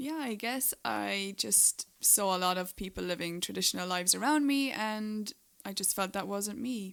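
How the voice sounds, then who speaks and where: Lively intonation carries an Irish accent in a very clean recording with a silent background. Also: woman, medium pitch for a woman, moderate pace. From Ireland. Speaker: podcast co-host, writer. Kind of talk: casual chat.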